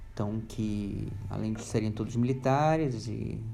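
A man at medium pitch speaks at a very slow pace with fairly even intonation, and room echo is audible. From Rio de Janeiro, Brazil. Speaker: human rights organization worker, environmental activist. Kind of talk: casual interview chat. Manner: halting, many fillers.

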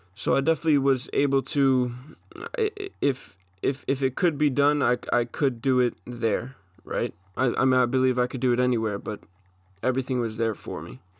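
A man with an American accent talks at a fairly quick pace and a medium pitch. The sound is dry and close with no echo, and his intonation is fairly even. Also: very clean recording, silent background. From Long Island, New York. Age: 20s. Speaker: aspiring MMA fighter. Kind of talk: solo monologue. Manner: halting.

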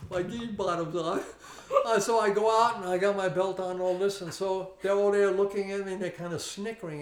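Against noticeable background noise, a man with an American accent speaks at a fairly quick pace in a high pitch with fairly even intonation. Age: 70s. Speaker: martial arts instructor. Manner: repeats 'okay' often, relaxed.

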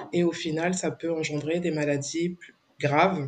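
A woman speaks very slowly in a flat, monotone way. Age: 40s. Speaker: founder of a women's support association. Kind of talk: interview. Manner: hesitant, many fillers.

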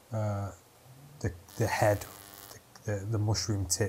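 The voice is somewhat breathy, delivered in a monotone with flat intonation. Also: man. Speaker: comedian. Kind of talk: casual chat.

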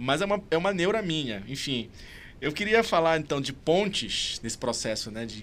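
A man talks at a fairly quick clip. His pitch swings very widely. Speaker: podcast host. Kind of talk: interview. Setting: studio. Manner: stuttering.

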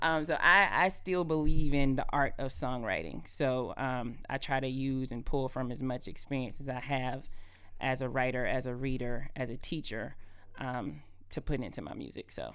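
A woman with an American accent, very deep and low in pitch, with vocal fry, at a moderate pace, amid audible room echo. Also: ordinary pitch variation. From Georgia, US South. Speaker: singer-songwriter and nonprofit founder. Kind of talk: interview.

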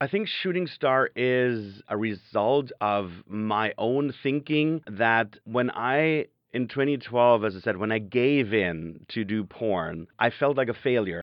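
Medium-pitched man with a German accent, very slow yet with hardly any pauses, and lively intonation. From southern Germany. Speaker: adult film performer and musical creator. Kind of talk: interview.

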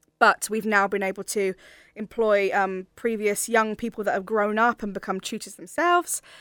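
A woman with an unremarkable speaking voice, medium pitch, ordinary pitch variation and moderate pace on a very clean recording with a silent background. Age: 30s. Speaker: singer and vocal coach. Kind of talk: interview.

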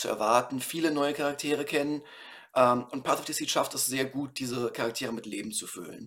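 A man's unremarkable speaking voice, at a fairly quick pace with fairly even intonation. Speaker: podcast host reviewing books. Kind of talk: solo book review.

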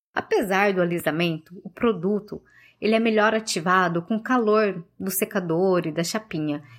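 A woman with an ordinary speaking voice at a medium pitch, ordinary pitch variation and a moderate pace, on a very clean recording with a silent background. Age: 30s. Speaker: journalist. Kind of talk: recorded testimony.

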